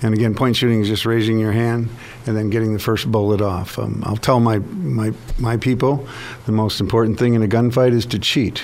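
A man at a medium pitch, fairly quick pace and fairly even intonation, over noticeable background noise. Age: 60s. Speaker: firearms training instructor. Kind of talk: radio interview. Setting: studio.

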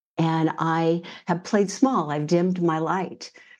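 A woman's normal speaking voice with an American accent, fairly low in pitch and with fairly even intonation. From US West Coast, Northern California. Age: 60s. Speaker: intuitive coach. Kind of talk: interview.

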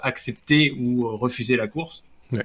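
A man speaks at medium pitch with a bright, sharp tone. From France. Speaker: tech columnist. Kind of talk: casual chat.

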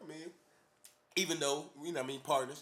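Speaking at a fairly quick pace, a man uses a fairly high pitch, a fairly bright tone and fairly even intonation.

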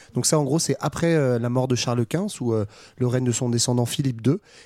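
Recorded dry and close with no echo, a man with a medium pitch and a dark, mellow tone talks at a fairly quick pace with ordinary pitch variation. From France, Saint-Etienne. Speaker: podcast panelist. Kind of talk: casual educational discussion.

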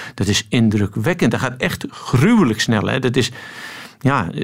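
Noticeable background noise fills the clip. Over it, a man speaks with lively intonation. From Netherlands. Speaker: swimming coach. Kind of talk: radio interview.

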